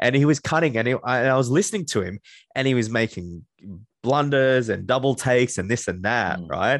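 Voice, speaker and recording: A man speaks at a moderate pace in a medium pitch. His intonation is lively, and the background is quiet. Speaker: podcast host. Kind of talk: casual interview chat.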